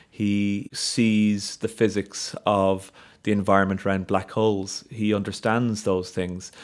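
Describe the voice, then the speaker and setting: A man with a Dublin accent speaks at a fairly low pitch and a fairly slow pace, his intonation monotone and flat. The recording is very clean, with a silent background. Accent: Dublin Irish. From Ireland, north Dublin. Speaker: solar physicist. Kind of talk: interview conversation.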